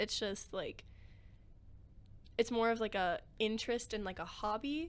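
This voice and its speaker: Recorded very cleanly against a silent background, a woman with an American accent uses a plain, everyday voice at a fairly high pitch. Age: 20s. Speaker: college student and podcast co-host. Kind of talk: casual chat.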